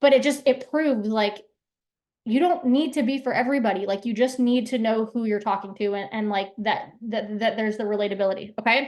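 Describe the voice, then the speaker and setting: Energetic in tone, a woman talks at a fairly quick pace and fairly high pitch with ordinary pitch variation. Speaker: branding workshop presenter. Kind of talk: live workshop talk. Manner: fast.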